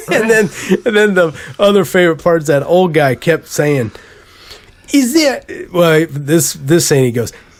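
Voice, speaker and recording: A man at a high pitch, lively intonation, moderate pace and long, frequent pauses, at very even loudness over noticeable background noise. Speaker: podcast host. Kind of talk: casual chat. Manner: animated.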